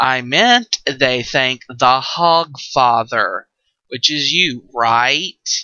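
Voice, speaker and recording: In a put-on character voice, a man speaks at a very slow pace. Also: medium pitch for a man. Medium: read story.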